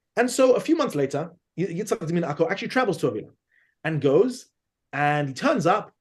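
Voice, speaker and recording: A man with a London accent speaks at a high pitch and a fairly quick pace. His pitch swings very widely. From London, England. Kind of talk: podcast interview, historical lecture. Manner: animated storytelling with many repetitions.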